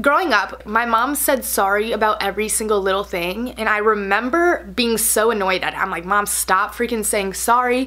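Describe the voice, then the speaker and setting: Over noticeable background noise, a woman speaks in an animated tone at a fairly high pitch with ordinary pitch variation. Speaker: beauty and lifestyle vlogger. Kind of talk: casual vlog chat. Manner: fast.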